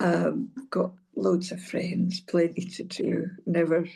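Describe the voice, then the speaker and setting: A woman with a Hebridean accent, fairly low in pitch, dark and mellow in tone, at a very slow pace. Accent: Scottish Hebridean. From North Uist, Scotland. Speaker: former senior civil servant and social work professional. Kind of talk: interview answer.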